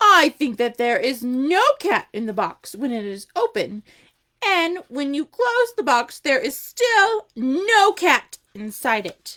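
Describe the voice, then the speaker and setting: High and put on as a character voice, the speech moves at a fairly slow pace with very wide pitch swings. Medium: read story. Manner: inquisitive, earnest.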